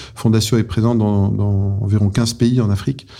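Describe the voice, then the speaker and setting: Monotone and flat, a man at medium pitch speaks at a moderate pace with a dark, mellow tone. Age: 50s. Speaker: business executive. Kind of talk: interview. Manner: halting.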